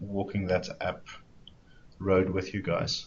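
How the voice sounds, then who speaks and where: Speaking slowly with a South African accent, a man has a fairly low, somewhat breathy voice. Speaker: software developer evangelist. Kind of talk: webinar presentation.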